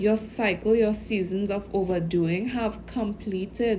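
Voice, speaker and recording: A woman's somewhat breathy voice keeps a fairly even intonation. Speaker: spiritual channel reader. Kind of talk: intuitive message reading. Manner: halting; casual.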